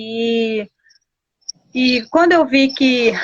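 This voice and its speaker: A woman talks in a Paraguayan accent. Her pitch is high. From Guarani Kaiowá village, Mato Grosso do Sul, Brazil. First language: Guarani (speaking Portuguese). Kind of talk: interview. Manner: halting, many fillers.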